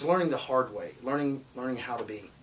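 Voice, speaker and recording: A medium-pitched man with a Southern US accent and ordinary pitch variation, over noticeable background noise. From Alabama, Muscle Shoals. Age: 20s. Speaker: singer-songwriter. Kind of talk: interview. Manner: halting, many false starts.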